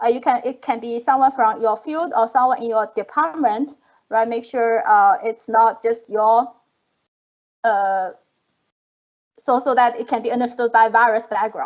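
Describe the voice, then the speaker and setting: Pausing often and at length, a woman with a fairly high pitch speaks at a moderate pace with ordinary pitch variation. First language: not English. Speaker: professor, panelist. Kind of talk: panel discussion. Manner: halting, many fillers.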